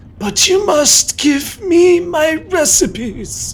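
A man puts on a character voice with an extremely high pitch. He speaks at a very slow pace over light background noise. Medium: actual play. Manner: eager, grasping.

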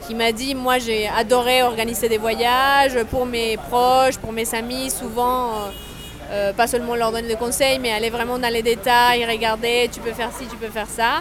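A woman speaks in a flat monotone at a fairly high pitch and a fairly slow pace, with noticeable background noise. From Colombia. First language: Spanish (speaking French). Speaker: travel agency founder. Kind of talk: interview. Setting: café.

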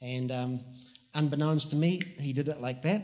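Over noticeable background noise, a man with a New Zealand accent talks at a fairly quick pace in a fairly high pitch with fairly even intonation. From New Zealand, Whangarei. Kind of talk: testimony.

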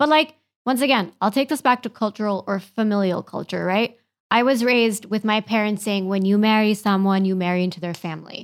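A woman with an American accent speaks at a fairly quick pace in a plain, everyday voice. Her pitch is medium with ordinary variation, on a very clean recording with a silent background. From US, Kentucky and New York. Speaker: podcast guest. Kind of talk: casual chat. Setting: studio.

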